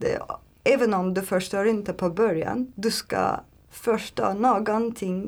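A woman talks very slowly in a Turkish accent. Her loudness stays very even. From Turkey. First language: Turkish (speaking Swedish). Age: 30s. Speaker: language learner, aspiring translator. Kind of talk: interview. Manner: halting, many fillers.

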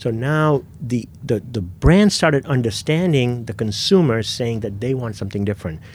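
A man talks at a moderate pace and a medium pitch with hardly any pauses. He has a plain, everyday voice with lively intonation. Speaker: sneaker store owner. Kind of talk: casual interview.

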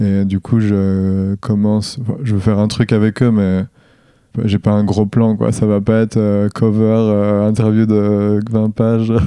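A man speaks at a very slow pace in a dark, mellow tone. His intonation is monotone and flat, and his loudness stays very even. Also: fairly low pitch for a man. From eastern France, Jura (Dole). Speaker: professional skateboarder. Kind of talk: casual interview.

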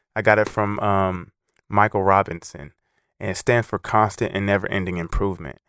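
Recorded dry and close with no echo and a silent background, a man with an ordinary speaking voice talks fairly quickly, fairly low in pitch, with fairly even intonation, in a very clean recording. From California Central Valley (Los Banos). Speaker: former college football player and fitness challenge founder. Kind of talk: motivational interview.

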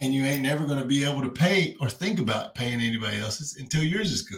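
Speaking at a fairly quick clip, this man has a Kentucky accent and a fairly high pitch. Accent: US Southern, Kentucky. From Kentucky (Frankfort, Owensboro). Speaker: crypto influencer and finance teacher. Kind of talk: casual chat, personal testimony. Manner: animated.

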